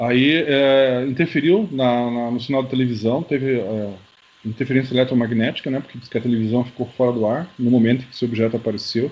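A man speaks with an ordinary speaking voice at medium pitch. His pace is fairly quick. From Curitiba, southern Brazil. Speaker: UFO researcher and author. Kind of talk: interview.

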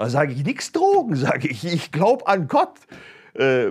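At a moderate pace, the speech comes through in a very clean recording with a silent background. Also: man. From Germany, Stuttgart. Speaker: pastor. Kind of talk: testimony.

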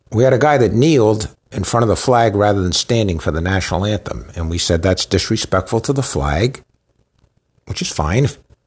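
A man with a fairly low pitch talks at a fairly quick pace in an animated, somewhat breathy tone with lively intonation. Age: old. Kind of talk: sermon-style teaching.

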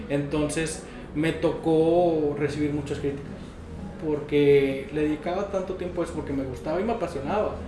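Against noticeable background noise and audible room echo, a man speaks at a moderate pace in a fairly high pitch. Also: fairly even intonation. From Mexico, Monterrey. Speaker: dentist. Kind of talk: interview. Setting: dental clinic.

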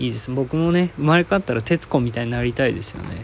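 Over noticeable background noise, a man speaks with a fairly high-pitched voice. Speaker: podcast host. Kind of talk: solo casual talk. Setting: at home, in quarantine.

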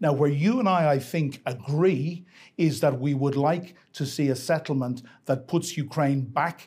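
With a dark, mellow tone and a fairly high pitch, a man speaks at a moderate pace, somewhat breathy, with ordinary pitch variation. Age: 60s. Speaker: Ukraine expert. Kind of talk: debate.

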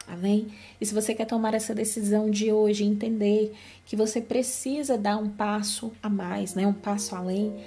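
Her pitch sits fairly high and her intonation is monotone and flat. This woman keeps a moderate pace. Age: 30s. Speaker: podcast host, Bible teacher. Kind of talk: devotional Bible reflection.

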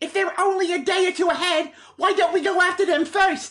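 An extremely high-pitched, put-on character voice moves at a fairly quick pace. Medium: read story. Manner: firm, insistent.

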